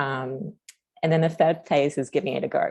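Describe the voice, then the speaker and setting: The speaker has an Australian accent. The pace is fairly quick. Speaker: community services co-design practitioner. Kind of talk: presentation at online forum. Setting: online meeting. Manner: fast.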